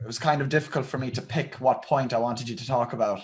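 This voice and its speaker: A man with an Irish Midlands accent, fairly quick and with fairly even intonation. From Ireland, County Roscommon. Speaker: fitness channel host. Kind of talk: interview.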